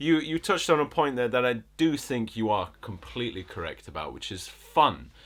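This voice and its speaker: In a slight northern English accent, the voice moves at a moderate pace with hardly any pauses, very wide pitch swings and big swings in loudness. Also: man, medium pitch for a man. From northern England, Bolton. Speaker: film critic podcast host. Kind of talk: casual chat.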